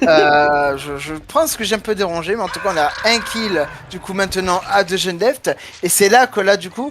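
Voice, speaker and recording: With music in the background, the talking goes at a moderate pace. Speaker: esports caster. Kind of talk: live commentary. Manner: loud.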